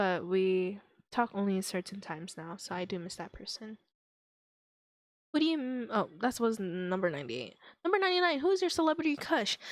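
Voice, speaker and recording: The speaker talks at a fairly quick pace with very wide pitch swings, broken up by long, frequent pauses. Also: woman, medium pitch for a woman. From Guam. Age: 20s. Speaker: youtuber podcaster. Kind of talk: casual chat. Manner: casual, hesitant.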